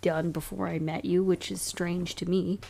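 A woman speaks at a fairly slow pace and a fairly low pitch. Her slightly mellow tone carries vocal fry.

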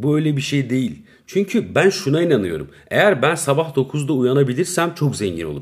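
With vocal fry and lively intonation, a man talks at a fairly quick pace and fairly high pitch, hardly pausing at all. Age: 30s. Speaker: podcaster. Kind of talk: casual solo monologue. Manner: rambling, laughing at himself.

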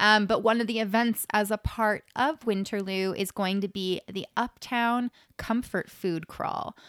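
In a Canadian accent, a woman with an unremarkable speaking voice talks at a fairly high pitch, a fairly slow pace and with fairly even intonation. The recording is very clean, with a silent background and a dry, close sound with no echo. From Waterloo region, Ontario. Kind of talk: event listings; casual chat. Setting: studio.

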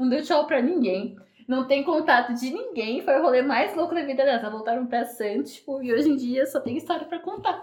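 Her intonation lively, a woman talks at a moderate pace and high pitch. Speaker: podcast co-host. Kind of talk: casual chat. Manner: frequent laughter.

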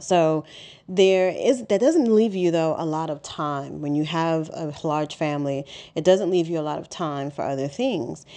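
A woman's fairly low, dark, mellow voice with a New York accent, at a moderate pace with ordinary pitch variation, against a quiet background. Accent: New York City. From Harlem, New York City. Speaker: podcast host, business coach. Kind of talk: solo podcast monologue. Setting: home. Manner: conversational, with many fillers.

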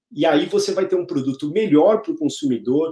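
At a fairly quick pace, a man talks with a high pitch, a dark, mellow tone and lively intonation. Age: 40s. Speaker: food retail innovation executive. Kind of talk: interview. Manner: halting, many fillers and repetitions.

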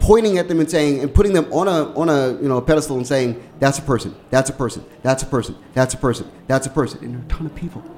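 With hardly any pauses, a man with an American accent talks at a very fast pace in a fairly high pitch with ordinary pitch variation, over noticeable background noise. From Washington, D.C. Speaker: radio host. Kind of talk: casual chat. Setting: studio.

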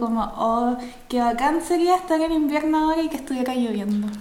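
A woman talks at a fairly quick pace with a Chilean accent, her pitch high and its variation ordinary. Room echo is audible, and there is noticeable background noise. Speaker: podcast co-host. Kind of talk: casual chat. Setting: remote recording.

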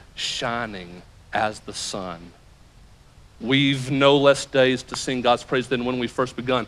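Speaking with a Southern US accent, a man holds a medium pitch and fairly even intonation. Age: 40s. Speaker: pastor. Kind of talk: sermon. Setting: church.

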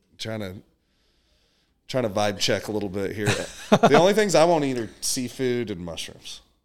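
Pausing long and often, a man with a Texan accent speaks at a moderate pace and medium pitch with lively intonation. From Texas. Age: 30s. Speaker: strength and conditioning coach. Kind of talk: casual chat.

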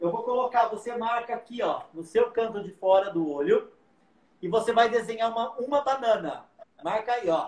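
This man's voice is extremely high-pitched, with ordinary pitch variation. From interior of São Paulo state, Brazil. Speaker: makeup artist and hairdresser. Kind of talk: live makeup tutorial.

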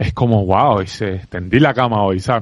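Talking with an unremarkable speaking voice, a man keeps a moderate pace and fairly even intonation. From Cuba. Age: 30s. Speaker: entrepreneur and sales expert. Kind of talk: interview conversation.

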